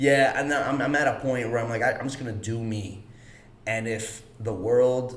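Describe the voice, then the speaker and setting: With noticeable background noise and audible room echo, a man at medium pitch with an American accent talks at a fairly slow pace and fairly even intonation. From Chicago, US Midwest. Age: 30s. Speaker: actor. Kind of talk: casual chat.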